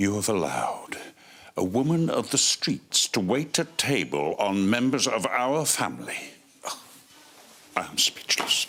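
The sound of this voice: In a put-on character voice, a man speaks at a fairly low pitch and a fairly slow pace, with big pitch swings, a fairly bright tone and a slightly husky edge.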